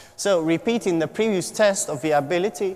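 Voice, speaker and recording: Ordinary pitch variation over noticeable background noise. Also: man. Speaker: PhD student presenting research. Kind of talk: conference talk. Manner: fast; halting.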